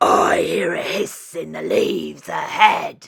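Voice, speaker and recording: In a put-on character voice, someone growls at a fairly slow pace. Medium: read story.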